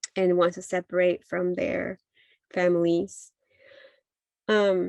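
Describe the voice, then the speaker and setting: In a Spanish accent, a woman with a fairly low voice speaks at a very slow pace with ordinary pitch variation, the sound dry and close with no echo. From Mexico, Jalisco. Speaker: midwife. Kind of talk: talk sharing personal story. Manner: halting, many fillers.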